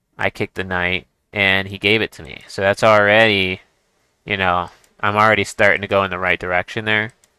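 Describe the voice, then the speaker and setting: The voice has a bright, sharp tone and monotone, flat intonation, moving at a fairly quick pace with big swings in loudness, in a dry, close sound with no echo. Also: man, fairly low pitch for a man, very clean recording, silent background. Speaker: chess streamer teaching beginners. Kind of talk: game commentary tutorial. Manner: casual, halting with restarts.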